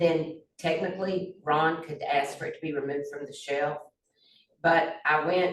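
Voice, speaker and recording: A woman's fairly low, monotone, flat voice in a Southern US accent, with big swings in loudness and audible room echo. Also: moderate pace. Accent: Southern US (Georgia). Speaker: former county commissioner. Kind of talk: community meeting discussion.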